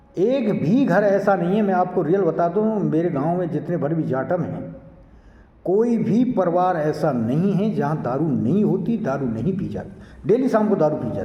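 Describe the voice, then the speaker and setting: High-pitched male speech with lively intonation and audible room echo. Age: 60s. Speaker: environmental activist, social commentator. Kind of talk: monologue to camera. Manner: exhortative.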